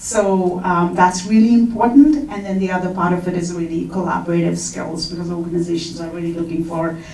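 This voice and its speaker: A woman talks at a fairly quick pace in a fairly low voice with fairly even intonation, with audible room echo and noticeable background noise. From India. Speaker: HR talent executive, panelist. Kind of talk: conference panel discussion. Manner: hesitant, frequent fillers.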